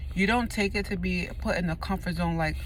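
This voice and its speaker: Speech at a fairly quick pace comes through over noticeable background noise. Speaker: speaker sharing experience of homelessness. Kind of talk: informal persuasive speech. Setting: at work on lunch break. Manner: fast; halting.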